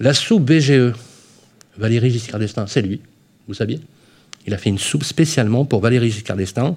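Somewhat breathy male speech at medium pitch and a moderate pace, broken by long, frequent pauses. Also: ordinary pitch variation. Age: 30s. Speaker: radio host. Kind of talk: radio show. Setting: live radio broadcast. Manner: animated.

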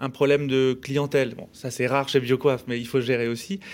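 A man's medium-pitched, a plain, everyday voice, in a very clean recording with a silent background. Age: 30s. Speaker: hair salon chain co-founder. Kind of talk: casual radio interview. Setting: radio studio.

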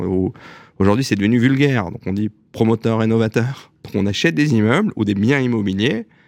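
This is a plain, everyday voice with lively intonation. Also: man. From Alsace, France (Strasbourg). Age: 40s. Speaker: real estate company executive. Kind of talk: radio interview.

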